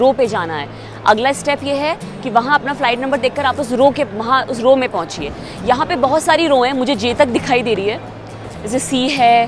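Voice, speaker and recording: A high-pitched woman's voice at a moderate pace, with ordinary pitch variation, dry sound with no echo and music in the background. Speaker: travel vlogger. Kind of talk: tutorial. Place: station. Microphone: phone near.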